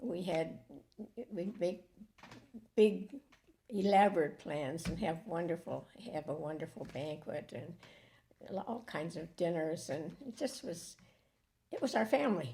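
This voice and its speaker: Somewhat breathy speech in a dark, mellow tone, fairly slow, with lively intonation and long, frequent pauses. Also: woman, fairly low pitch for a woman. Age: old. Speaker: church member. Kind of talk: casual chat. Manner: halting.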